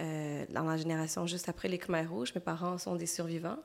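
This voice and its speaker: A woman in a Quebec accent speaks at a moderate pace with a fairly low pitch. Her intonation is fairly even, and the recording is very clean with a silent background. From Quebec, Montreal; Cambodian family. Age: 30s. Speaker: illustrator. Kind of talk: interview.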